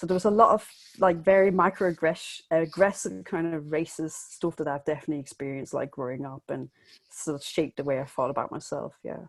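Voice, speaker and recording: A woman with a Danish accent speaks at a fairly quick pace, fairly low in pitch with ordinary pitch variation. The recording is very clean, with a silent background. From Denmark. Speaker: illustrator and graphic novelist. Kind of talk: interview. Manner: halting.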